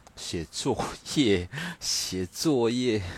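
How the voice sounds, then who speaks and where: This very clean recording has a silent background. Across it, the voice shows ordinary pitch variation. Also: man. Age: middle-aged. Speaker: livestream host. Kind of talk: casual late-night livestream chat. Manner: lazy, drawling; nonchalant.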